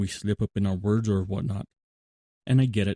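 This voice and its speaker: The words come out mumbled at a moderate pace. The intonation stays flat and monotone. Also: man. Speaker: podcast host, Bible reflection. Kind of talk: monologue podcast talk. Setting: remote recording app. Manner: tends to mumble; conversational, with fillers and self-corrections.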